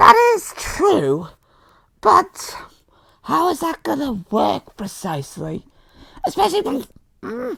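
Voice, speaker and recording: The speaker uses a put-on character voice at a fairly high pitch. The pace is fairly slow, broken by long, frequent pauses. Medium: machinima.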